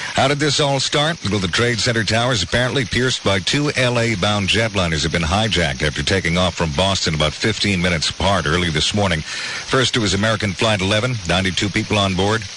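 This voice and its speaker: Over noticeable background noise, a man with a fairly low pitch talks at a fairly quick pace with hardly any pauses, lively intonation and very even loudness. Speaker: radio news anchor. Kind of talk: radio news bulletin. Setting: studio. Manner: measured, solemn anchor delivery.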